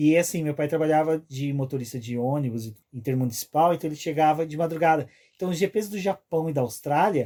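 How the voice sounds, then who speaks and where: Speaking at a fairly quick pace, a man with a fairly high pitch and a dark, mellow tone uses ordinary pitch variation, captured on a very clean recording with a silent background. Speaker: podcast host. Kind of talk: casual chat.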